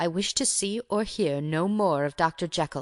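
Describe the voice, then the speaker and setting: At a moderate pace and a middle pitch, a shaky put-on character voice speaks over a quiet background. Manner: loud, shaky, agitated.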